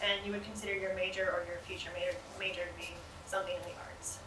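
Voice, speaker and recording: Over noticeable background noise and audible room echo, a woman speaks at a very fast pace. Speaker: arts festival presenter, former student. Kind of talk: presentation to audience. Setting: stage with audience. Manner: casual, hesitant with fillers.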